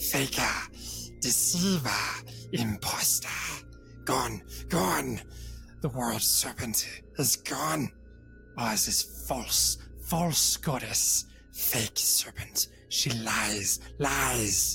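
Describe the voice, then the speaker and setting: With long, frequent pauses, a raspy put-on character voice mumbles at a very slow pace over clear music in the background. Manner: mumbling, paranoid.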